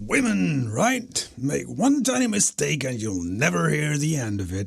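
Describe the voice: A man performs a cartoonish character voice at a medium pitch. He keeps a moderate pace.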